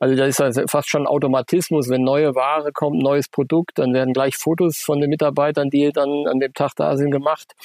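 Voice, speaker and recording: Heard in a dry, close sound with no echo, a man speaks in a monotone, flat intonation. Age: 40s. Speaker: running shop owner. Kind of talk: interview. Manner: hesitant, many filler sounds.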